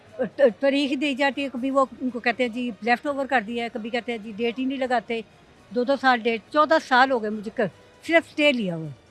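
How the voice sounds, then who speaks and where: With music in the background, a woman at a high pitch speaks at a moderate pace with ordinary pitch variation. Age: 60s. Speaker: property owner in legal dispute. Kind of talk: news interview.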